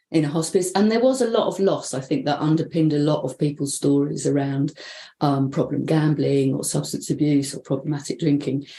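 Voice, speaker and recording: Her voice is very deep and low in pitch, with a dark, mellow tone and vocal fry, as this woman talks at a fairly quick pace with ordinary pitch variation. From London, England. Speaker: bereavement counsellor. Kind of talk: interview. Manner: casual, hesitant with fillers.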